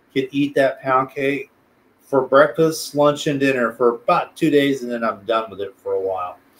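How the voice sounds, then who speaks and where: A man talks at a moderate pace with ordinary pitch variation. His pitch sits fairly high. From South Texas. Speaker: special education teacher and planetarium director; interview guest, teacher. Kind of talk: casual interview; interview answer. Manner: halting, many repeated words and fillers. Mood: relaxed, friendly. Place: home room.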